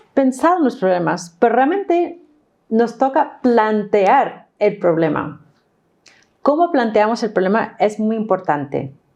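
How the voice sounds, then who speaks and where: A woman with an English accent, fairly high in pitch, talking at a fairly slow pace with very wide pitch swings. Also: very even loudness. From New York, US. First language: English (speaking Spanish). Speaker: course instructor. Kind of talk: online course lesson.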